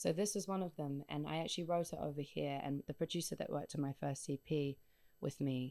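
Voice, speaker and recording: This woman speaks at a fairly quick pace with a very deep, low pitch, fairly even intonation and a dark, mellow tone, in a dry, close sound with no echo. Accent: New Zealand. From New Zealand. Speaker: singer-songwriter. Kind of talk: radio interview. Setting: radio studio.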